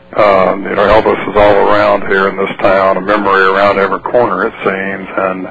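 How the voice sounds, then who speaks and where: A man with a Mississippi accent speaks fairly quickly with hardly any pauses, in a fairly low, monotone, flat voice. Noticeable background noise runs underneath. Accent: Mississippi Southern US. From US South. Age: 60s. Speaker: novelist and former drug enforcement officer. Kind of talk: radio interview. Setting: phone call. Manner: hesitant with many fillers.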